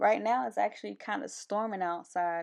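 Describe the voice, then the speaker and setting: A woman's animated, medium-pitched voice with an American accent at a moderate pace against a quiet background. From US South (Albany, Georgia). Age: 30s. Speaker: podcast host, soldier. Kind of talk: casual monologue.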